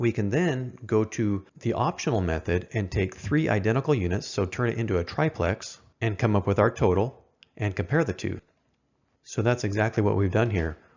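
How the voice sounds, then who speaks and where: With lively intonation, a man speaks at a fairly low pitch. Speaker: electrical code instructor. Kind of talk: tutorial. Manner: fast.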